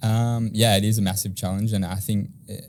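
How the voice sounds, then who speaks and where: A man with an Australian accent talks at a very fast pace in a monotone, flat intonation. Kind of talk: podcast interview.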